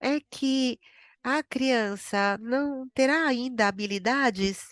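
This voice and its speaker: With a dry, close sound, no echo and a quiet background, a woman speaks with ordinary pitch variation. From Brazil. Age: 80s+. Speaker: psychotherapist, webinar presenter. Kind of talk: webinar Q&A, answering questions. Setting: online webinar. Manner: halting, with fillers.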